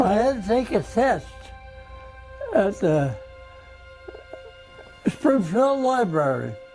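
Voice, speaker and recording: With an American accent, the speaker moves at a very slow pace, with long, frequent pauses and very wide pitch swings. Music plays in the background. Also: man. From Massachusetts. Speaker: war veteran. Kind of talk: interview answer. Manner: emotional.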